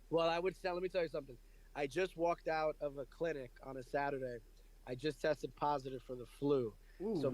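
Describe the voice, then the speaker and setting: In a New York accent, this voice moves at a fairly quick pace with fairly even intonation. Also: man. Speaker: radio personality, podcast host.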